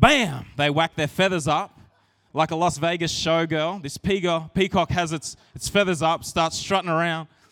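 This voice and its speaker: This man has a high pitch with ordinary pitch variation. His voice sounds dry and close, with no echo. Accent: Australian. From Australia, rural New South Wales. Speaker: pastor. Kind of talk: sermon. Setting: church. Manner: casual, conversational.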